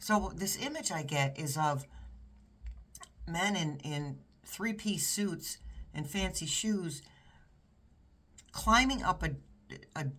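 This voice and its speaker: The speaker has an American accent and talks at a very slow pace. Long pauses come often. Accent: New York accent, occasionally showing. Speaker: tarot reader. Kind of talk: tarot reading monologue. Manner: halting, with frequent restarts.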